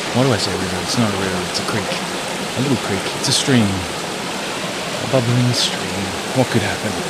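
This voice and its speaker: Loud background noise runs under speech at a moderate pace broken by long, frequent pauses. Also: man. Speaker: hiker. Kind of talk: casual talk to camera. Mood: joking, playful. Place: forest. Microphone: phone near.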